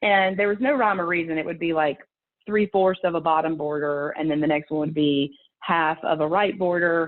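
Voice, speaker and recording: With a Southern US accent, a woman speaks at a moderate pace, her fairly low pitch showing ordinary variation. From US South. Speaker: conference speaker, procurement professional. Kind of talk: conference presentation. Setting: video call. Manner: animated.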